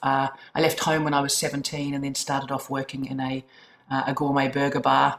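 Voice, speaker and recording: A woman with a New Zealand accent, very deep and low in pitch, at a fairly quick pace against noticeable background noise. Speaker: chief executive of a social work charity. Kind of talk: casual interview. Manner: hesitant, fillers.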